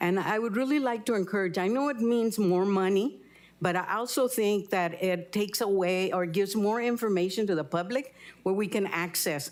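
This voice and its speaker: A woman with a Spanish accent speaks at a moderate pace and medium pitch, her loudness very even and her pitch varying in an ordinary way, on a very clean recording with a silent background. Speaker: public commenter. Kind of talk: public comment. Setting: council chamber.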